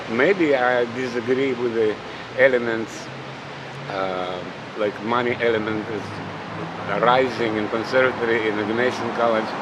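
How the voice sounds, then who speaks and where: A man with a Russian accent talks at a moderate pace and medium pitch, with fairly even intonation and long, frequent pauses. Noticeable background noise and audible room echo fill the recording. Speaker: pianist and competition juror. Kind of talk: interview. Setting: outdoors by a busy road. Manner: halting.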